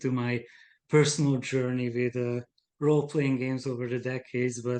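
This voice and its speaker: A man's fairly slow speech in a Hungarian accent, medium in pitch, with fairly even intonation. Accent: noticeable Hungarian. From Hungary. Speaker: game designer. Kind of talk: casual chat.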